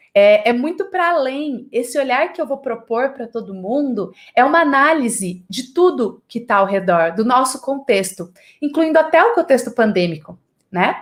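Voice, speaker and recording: A woman's animated, high-pitched voice with very wide pitch swings at a moderate pace. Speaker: creativity lecturer. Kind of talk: online lecture.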